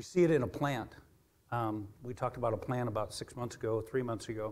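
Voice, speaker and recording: Somewhat breathy tones come through as the man talks. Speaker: preacher. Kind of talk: sermon. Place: church.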